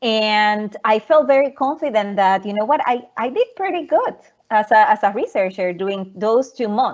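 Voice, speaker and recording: A woman with a Puerto Rican accent speaks at a moderate pace, her fairly high voice showing ordinary pitch variation. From Puerto Rico, Arroyo. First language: Spanish. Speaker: research scientist. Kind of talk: presentation talk. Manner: halting, many repetitions.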